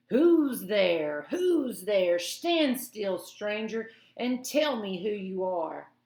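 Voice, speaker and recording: A put-on character voice, female-sounding and fairly high, comes out growling at a very slow pace. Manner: menacing.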